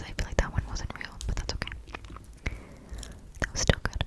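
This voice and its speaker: Whispering at a moderate pace, a woman can be heard over noticeable background noise. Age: 20s. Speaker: ASMR creator. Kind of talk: casual talk to camera. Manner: whispered.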